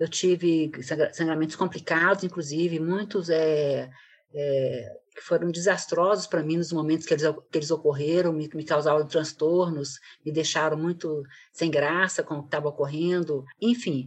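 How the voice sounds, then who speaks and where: A woman's very deep, low voice at a moderate pace, fairly even in intonation, over a quiet background. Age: 60s. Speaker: guest, mother of the co-host. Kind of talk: casual chat.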